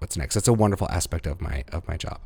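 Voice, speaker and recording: A man with an American accent, a very deep, low pitch and vocal fry, at a very fast pace with lively intonation. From US Northeast, suburban Philadelphia (Montgomery County). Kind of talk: interview.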